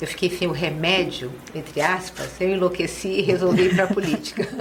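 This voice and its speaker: There is noticeable background noise behind a woman speaking at a fairly low pitch. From Rio de Janeiro, Brazil. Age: 60s. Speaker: city councillor. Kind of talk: podcast interview. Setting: studio.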